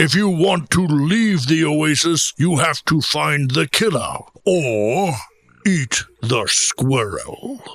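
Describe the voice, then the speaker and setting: Using a put-on character voice, a man speaks at a very slow pace with a fairly high pitch. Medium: audio drama. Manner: firm, solemn, commanding.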